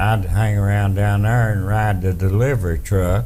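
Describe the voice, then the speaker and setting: Speaking with an Appalachian accent, a man talks at a fairly slow pace and a fairly low pitch, with audible room echo. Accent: Appalachian Southern US. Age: 70s. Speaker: interviewee, family elder. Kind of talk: casual reminiscing interview.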